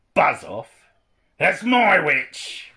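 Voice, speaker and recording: Putting on a character voice, a man sounds croaky, shrill, raspy and growling. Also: high pitch for a man. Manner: terrible, aggressive.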